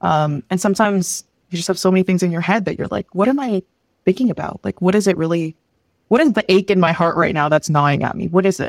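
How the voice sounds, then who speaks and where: Speaking at a very fast pace, a woman uses a medium pitch with ordinary pitch variation. The sound is dry and close, with no echo. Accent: Canadian. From Philippines, then Canada from age 8. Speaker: product designer and UX instructor. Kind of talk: casual interview chat.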